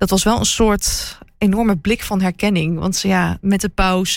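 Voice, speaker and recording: Medium-pitched and with fairly even intonation, this woman has an unremarkable speaking voice. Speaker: royalty reporter and TV presenter. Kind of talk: casual chat.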